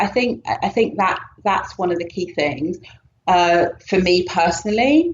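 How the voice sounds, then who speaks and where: A woman speaks with a British accent at a fairly slow pace. Her pitch is medium, with ordinary pitch variation. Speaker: yoga teacher. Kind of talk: podcast interview answer.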